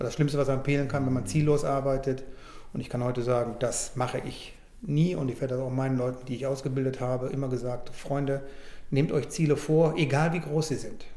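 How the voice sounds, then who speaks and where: Room echo is audible as a man talks at a medium pitch. His pace is fairly quick and his intonation fairly even. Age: 60s. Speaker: financial services director. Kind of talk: interview.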